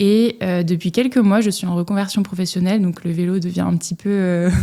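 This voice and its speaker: A woman's normal speaking voice at a medium pitch, moderate pace and fairly even intonation. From Strasbourg, Alsace, France. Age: 30s. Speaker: ultra cyclist. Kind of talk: podcast interview. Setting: studio.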